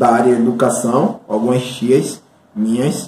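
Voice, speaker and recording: A man is speaking. His pace is fairly slow. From Bahia, Brazil (Santo Amaro). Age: 20s. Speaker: mathematics teacher. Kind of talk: interview testimony. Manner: halting, many fillers.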